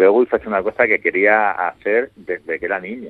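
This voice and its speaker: A man speaks at a moderate pace, his intonation fairly even. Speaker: comics writer. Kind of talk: interview.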